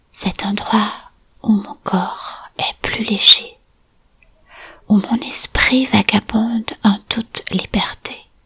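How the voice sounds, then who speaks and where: Whispering at a very slow pace with long, frequent pauses, the voice has a calm, soothing tone, recorded dry and close with no echo. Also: woman. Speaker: hypnotic storyteller and art therapist. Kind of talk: guided meditation for children and families. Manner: calm, slow, soothing.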